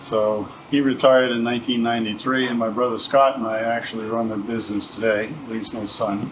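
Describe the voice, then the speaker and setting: A man with an American accent talks at a fairly quick pace with hardly any pauses, his medium pitch and monotone, flat intonation set against audible room echo and noticeable background noise. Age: 60s. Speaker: sheet metal shop owner. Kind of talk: casual interview, shop history.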